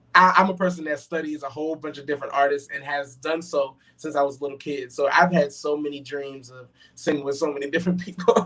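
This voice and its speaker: Over noticeable background noise, a man with an American accent and a fairly high pitch talks very fast in a monotone, flat delivery with big swings in loudness. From Brooklyn, New York, then Charlotte, North Carolina. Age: 20s. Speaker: gospel singer. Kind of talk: interview. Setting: live online show. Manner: fast at times.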